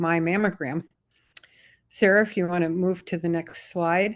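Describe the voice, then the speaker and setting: This woman has a normal speaking voice, fairly low in pitch, with fairly even intonation. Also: quiet background. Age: 60s. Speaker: behavioral scientist and study participant. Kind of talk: presentation in online forum.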